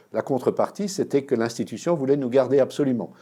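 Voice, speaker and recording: Over a silent background on a very clean recording, a man talks at a fairly quick pace with a dark, mellow tone. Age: 60s. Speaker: historian. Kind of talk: interview. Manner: hesitant, many fillers.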